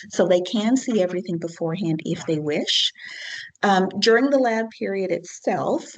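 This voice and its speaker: A woman with an ordinary speaking voice talks at a moderate pace, her medium pitch carried by lively intonation. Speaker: physics lab instructor. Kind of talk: lecture.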